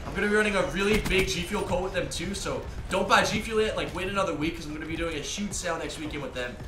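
Over noticeable background noise, a high-pitched man talks very fast with hardly any pauses and ordinary pitch variation. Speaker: YouTuber and professional gamer. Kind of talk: gameplay commentary vlog. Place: home room. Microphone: headset.

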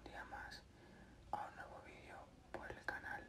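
A man whispering in a relaxed tone over noticeable background noise. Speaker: goalkeeper in pro clubs leagues, gaming content creator. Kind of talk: ASMR gameplay talk to camera about his experience. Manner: soft, quiet, relaxed.

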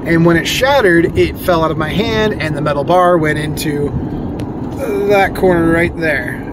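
Loud background noise surrounds a man speaking at a moderate pace. The sound is dry with no echo, and his pitch varies in an ordinary way. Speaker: vlogger. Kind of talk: casual vlog chat. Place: car. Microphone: phone near.

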